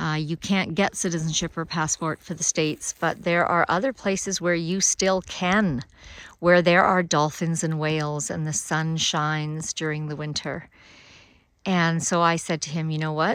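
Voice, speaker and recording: A woman with a Canadian accent uses an ordinary speaking voice at a fairly low pitch, a moderate pace and fairly even intonation. The sound is dry and close with no echo, on a very clean recording with a silent background. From Alberta, Canada. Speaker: podcast host, author and farmer. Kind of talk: solo monologue, recorded video.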